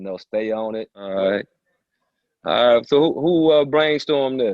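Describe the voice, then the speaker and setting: With an American accent, a man in a normal speaking voice talks at a moderate pace and medium pitch, his intonation lively and his loudness swinging widely. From Detroit, Michigan. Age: 60s. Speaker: basketball coach. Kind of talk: casual interview. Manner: warm, relaxed.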